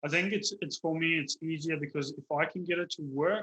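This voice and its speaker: With a South African accent, the man speaks in a fairly high pitch and a bright, sharp tone. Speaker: digital marketer running local lead generation. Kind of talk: interview on video call.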